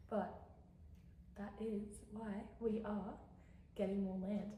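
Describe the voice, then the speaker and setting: Over noticeable background noise and audible room echo, a woman speaks in an Australian accent. Her medium pitch, fairly slow pace and monotone, flat intonation stay consistent. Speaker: lifestyle vlogger. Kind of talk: casual vlog chat. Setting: home kitchen, later car. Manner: whispering at times; chatty, rambling with fillers.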